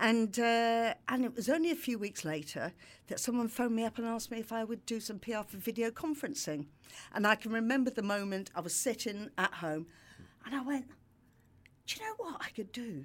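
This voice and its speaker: A woman with a fairly high pitch, lively intonation and a fairly quick pace. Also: very clean recording, silent background. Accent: London. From London. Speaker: PR agency founder. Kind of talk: casual chat.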